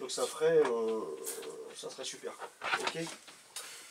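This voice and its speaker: Lively intonation from a man at a fairly slow pace, with noticeable background noise. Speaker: amateur football coach. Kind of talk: pre-match team talk. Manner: hesitant, many fillers.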